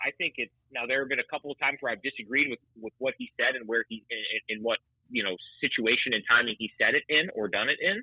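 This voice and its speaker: A man talks at a fairly quick pace. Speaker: radio play-by-play announcer. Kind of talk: sports podcast interview answer.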